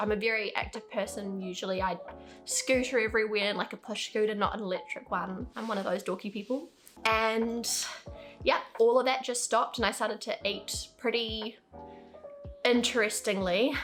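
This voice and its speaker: Music plays in the background. A woman with a fairly high pitch speaks at a moderate pace. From New Zealand. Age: 20s. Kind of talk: casual talk to camera.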